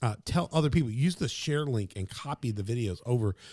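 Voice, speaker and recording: A man speaks in an animated, somewhat breathy tone with lively intonation. The recording is very clean, with a silent background. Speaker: podcast host and pastor. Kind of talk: podcast intro, casual promo talk. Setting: studio. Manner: animated, casual.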